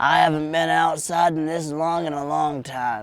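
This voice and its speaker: Fairly even intonation from a man in a put-on character voice with a fairly high pitch. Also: moderate pace. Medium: audio drama. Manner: rambling, colloquial.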